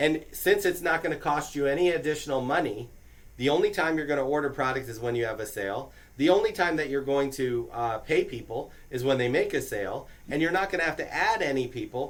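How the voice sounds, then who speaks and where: A man talks at a fairly quick pace in a fairly high voice. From New York. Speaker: business recruiter. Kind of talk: orientation presentation. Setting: small room with audience. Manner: casual, conversational.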